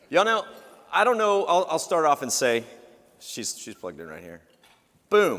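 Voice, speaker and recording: A man speaks at a moderate pace with a Texan accent. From Texas. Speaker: TV travel show host. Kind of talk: keynote speech. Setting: conference stage with audience. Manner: loud; animated.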